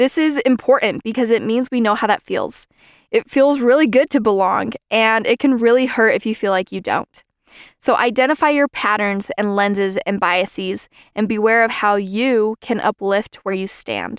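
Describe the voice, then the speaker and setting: A woman with a normal speaking voice and a fairly high pitch talks at a moderate pace, the sound dry and close with no echo in a very clean recording with a silent background. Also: ordinary pitch variation. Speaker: student podcast host. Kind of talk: scripted narration.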